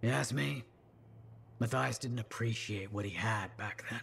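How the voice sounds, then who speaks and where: A man puts on a raspy character voice at medium pitch. He speaks at a moderate pace over clear background noise. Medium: video game.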